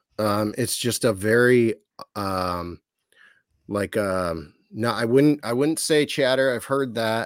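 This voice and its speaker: Speaking with an American accent at a very slow pace, the voice comes through on a very clean recording with a silent background. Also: man, medium pitch for a man, ordinary pitch variation. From Ohio, US. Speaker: documentary filmmaker. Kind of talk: casual interview.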